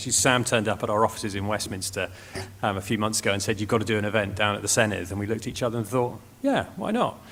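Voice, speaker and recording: This man talks very fast in a flat monotone, his pitch fairly low. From Wales, near Cardiff. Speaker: think tank research director. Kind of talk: presentation.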